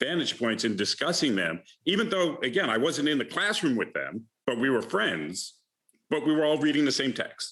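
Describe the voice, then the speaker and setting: A man speaks in a fairly high voice with a bright, sharp tone and very wide pitch swings. He has a slight Bronx accent. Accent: faint Bronx accent in a few words. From New York City, the Bronx. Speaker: alumnus and investment manager. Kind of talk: conversation at alumni lecture. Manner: halting with many fillers.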